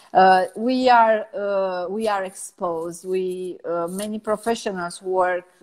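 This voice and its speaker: Here a woman speaks in a Romanian accent. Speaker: personal branding strategist. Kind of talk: interview. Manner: halting, many fillers.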